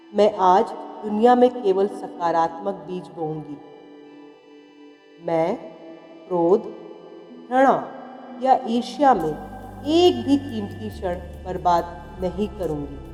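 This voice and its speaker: A woman speaks in a calm tone, with music in the background. Her loudness swings a lot, and she leaves long, frequent pauses. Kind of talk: guided affirmations read. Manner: slow, calm.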